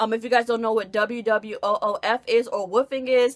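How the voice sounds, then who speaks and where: An American accent comes through. Intonation is fairly even throughout. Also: woman. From US Midwest, Dixmoor, Illinois. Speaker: vlogger. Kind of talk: casual vlog talk to camera.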